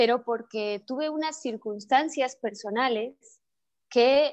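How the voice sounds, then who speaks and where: Her pitch is high and varies in an ordinary way as this woman speaks at a fairly slow pace. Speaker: actress and theatre maker. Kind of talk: interview. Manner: halting, many fillers.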